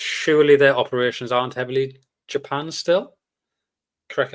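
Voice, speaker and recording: On a very clean recording with a silent background, a man speaks with a British accent. His pace is fairly quick. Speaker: stock market streamer. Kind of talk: live stream market commentary. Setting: live stream. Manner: fast; casual, many fillers.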